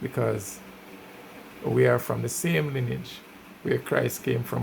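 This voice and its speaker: Noticeable background noise fills the clip. Through it, a man speaks fairly slowly. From Jamaica. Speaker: music reviewer. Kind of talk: casual commentary.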